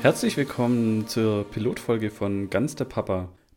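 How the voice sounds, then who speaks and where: A man talks at a moderate pace in an ordinary speaking voice with a medium pitch. The recording is very clean with a silent background. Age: 30s. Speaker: podcast host, father. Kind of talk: casual podcast intro.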